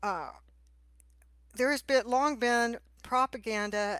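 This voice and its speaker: A woman speaks with a Texan accent and ordinary pitch variation in a very clean recording with a silent background. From Texas. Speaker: podcast host and attorney. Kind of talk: interview conversation.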